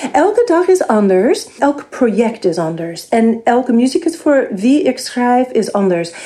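A woman's high-pitched voice with very wide pitch swings, very even loudness, a fairly slow pace and hardly any pauses, over noticeable background noise. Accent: English. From US, New York. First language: English (speaking Dutch). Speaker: composer. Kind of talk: interview. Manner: halting, many fillers.

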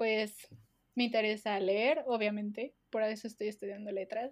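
The woman's intonation is fairly even. The background is quiet. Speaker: podcast co-host. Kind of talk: casual chat.

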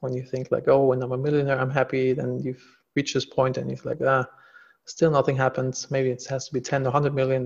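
Talking at a very fast pace with a German accent, a man delivers his words in a flat monotone, somewhat breathy. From Germany. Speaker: entrepreneur and executive coach. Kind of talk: interview.

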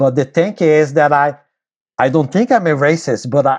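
This man speaks with a Brazilian accent. His pitch is fairly high. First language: Portuguese. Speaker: bassoon professor and musician. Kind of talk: casual interview. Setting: video call.

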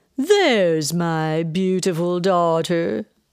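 A woman speaks very slowly in a put-on character voice, her clear, smooth tone pitched fairly low, with faint music in the background. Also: lively intonation.

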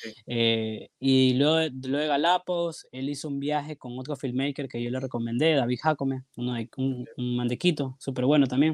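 Hardly pausing, a man with an unremarkable speaking voice keeps his intonation fairly even. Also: medium pitch for a man, moderate pace. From Guayaquil, Ecuador. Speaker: filmmaker and photographer. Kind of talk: casual interview chat.

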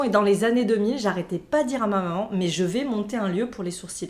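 Noticeable background noise beneath a woman at a medium pitch, her pitch varying in an ordinary way. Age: 40s. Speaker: nail artist. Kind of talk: casual chat.

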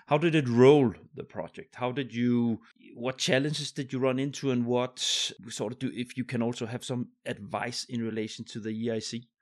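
The intonation of this man stays fairly even. His recording is very clean, and the background is silent. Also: medium pitch for a man, moderate pace. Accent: Danish. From Denmark. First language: Danish. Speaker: podcast host. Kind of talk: casual interview chat.

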